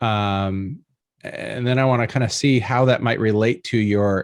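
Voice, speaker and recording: In a quiet background, a man with an American accent and an unremarkable speaking voice talks at a fairly slow pace with fairly low pitch and ordinary pitch variation. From Michigan. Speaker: podcast host. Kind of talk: interview question.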